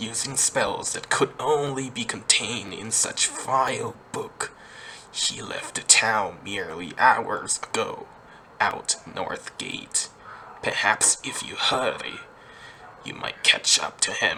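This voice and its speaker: A man puts on a character voice and talks fairly slowly, with clear background noise behind him. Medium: read story.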